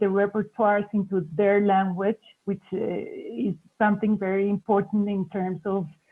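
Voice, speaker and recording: This woman speaks with a Spanish accent. Her pitch sits in the medium range and her pace is moderate. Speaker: arts foundation director. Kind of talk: panel discussion.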